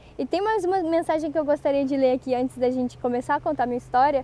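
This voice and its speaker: A high-pitched woman speaks very fast with ordinary pitch variation. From Brazil, interior of Rio de Janeiro state. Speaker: Japanese language teacher. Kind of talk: online course presentation.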